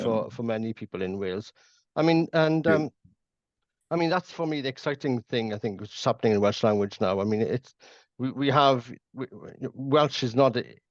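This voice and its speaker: A man speaks fairly quickly but with long, frequent pauses, his medium pitch marked by lively intonation. The sound is dry and close with no echo. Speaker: podcast host. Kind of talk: podcast interview.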